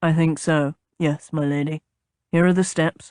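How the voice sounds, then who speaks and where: A put-on character voice, raspy and rumbling, at a middle pitch with monotone, flat intonation, a calm tone and a moderate pace. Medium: read story. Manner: even, calm, reserved.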